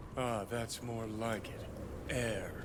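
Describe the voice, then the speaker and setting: Over loud background noise, a man at a medium pitch performs a put-on character voice. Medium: video game. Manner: brash, impatient.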